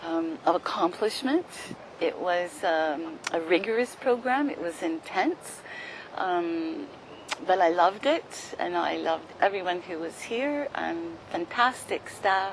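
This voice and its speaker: Noticeable background noise sits behind the recording. A woman speaks at a very slow pace. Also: medium pitch for a woman, lively intonation. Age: 60s. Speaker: yoga training graduate. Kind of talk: testimony.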